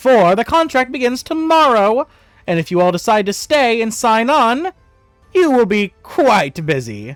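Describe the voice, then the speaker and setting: Over music in the background, a put-on character voice, fairly high and strained, speaks at a moderate pace. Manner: strained character voice.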